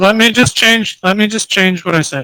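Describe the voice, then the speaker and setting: A man speaks in a put-on character voice. His pace is moderate. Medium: actual play. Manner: smooth, evasive.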